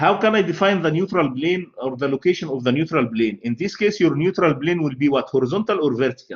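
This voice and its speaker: A man's fairly high voice in an Arabic accent, very fast with hardly any pauses and lively intonation. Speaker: university lecturer. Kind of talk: lecture.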